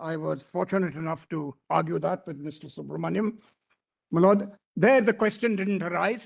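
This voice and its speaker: The man has a high pitch and ordinary pitch variation. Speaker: senior advocate. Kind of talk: courtroom argument. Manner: fast.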